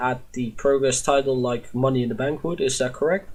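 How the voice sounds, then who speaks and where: Speaking with a Dutch accent, a man sounds somewhat breathy, with ordinary pitch variation at a moderate pace. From Netherlands. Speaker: podcast host. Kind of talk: casual chat. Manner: halting, many fillers.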